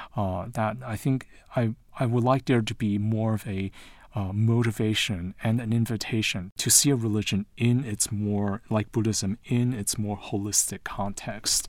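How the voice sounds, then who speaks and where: An unremarkable speaking voice with an American accent moves at a moderate pace with fairly even intonation. The recording is very clean, with a silent background. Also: man, fairly low pitch for a man. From Taiwan and the US. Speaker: literature professor. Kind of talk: interview.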